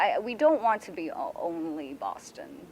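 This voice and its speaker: A woman's voice with very wide pitch swings. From Taiwan. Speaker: newspaper editor. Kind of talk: talk at a speaker event with Q&A. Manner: casual, many fillers.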